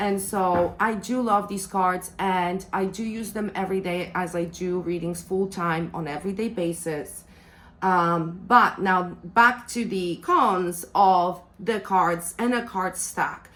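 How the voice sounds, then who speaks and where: Spoken with a non-native accent, the voice moves at a very slow pace with fairly even intonation. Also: woman, medium pitch for a woman. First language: not English. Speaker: tarot reader and deck reviewer. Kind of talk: product review.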